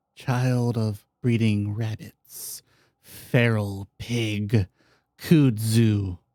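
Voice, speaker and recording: A man puts on a raspy character voice of medium pitch, speaking very slowly in a very clean recording with a silent background. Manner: halting.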